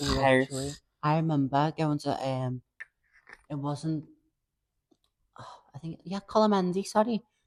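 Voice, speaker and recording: In a Liverpool accent, the speaker moves at a fairly slow pace with long, frequent pauses. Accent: Scouse. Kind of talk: podcast conversation.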